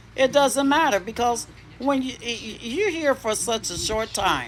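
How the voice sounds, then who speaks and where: Amid noticeable background noise, a woman speaks at a fairly slow pace with lively intonation. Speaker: spiritual content creator. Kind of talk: spiritual monologue. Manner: bold, cocky-sounding delivery; halting, repeats words.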